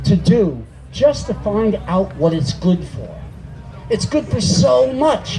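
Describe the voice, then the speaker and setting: Through noticeable background noise and audible room echo, a man speaks at a high pitch with lively intonation. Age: 60s. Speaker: cannabis activist speaker. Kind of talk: rally speech. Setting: outdoor stage with audience.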